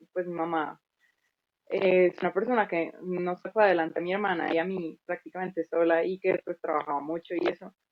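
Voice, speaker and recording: At a moderate pace, a woman talks in an ordinary speaking voice at a medium pitch. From Colombia. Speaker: music teacher and content creator. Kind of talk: casual interview.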